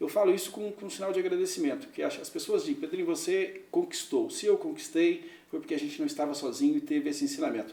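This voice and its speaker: Over noticeable background noise, the speech races at a very fast pace with hardly any pauses and very wide pitch swings. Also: man, extremely high pitch for a man. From Minas Gerais, Brazil (Araxá). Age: 50s. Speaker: businessman and mayoral candidate. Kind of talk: interview.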